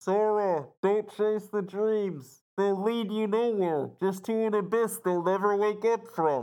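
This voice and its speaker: In a put-on character voice with fairly high pitch, the speaker goes at a fairly slow pace with hardly any pauses, on a very clean recording with a silent background. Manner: warning, ominous.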